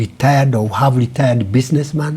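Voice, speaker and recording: A man at a moderate pace and medium pitch, with noticeable background noise. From Kenya, Kiambu County. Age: 80s+. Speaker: retired businessman. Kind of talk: interview.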